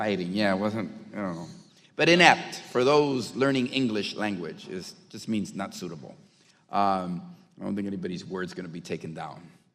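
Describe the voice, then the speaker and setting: A man with a fairly low pitch speaks at a moderate pace, his intonation lively and his loudness swinging widely. Room echo can be heard. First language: not English. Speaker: congressman. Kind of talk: committee debate.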